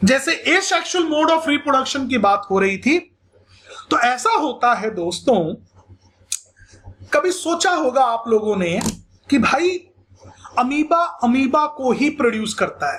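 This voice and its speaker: Pitched extremely high, a man swings his voice through very wide pitch ranges at a very even loudness, leaving long, frequent pauses. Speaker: school science teacher. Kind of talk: lecture. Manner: animated.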